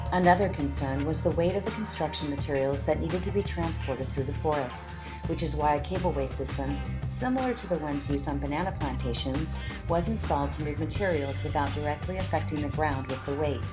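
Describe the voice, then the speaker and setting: A woman speaking at a very fast pace, music in the background. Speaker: voice-over artist. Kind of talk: corporate documentary narration.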